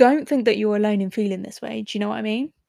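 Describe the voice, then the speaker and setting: A woman's fairly high voice, dry and close with no echo, on a very clean recording with a silent background. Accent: English. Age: 20s. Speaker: podcast host. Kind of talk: casual monologue.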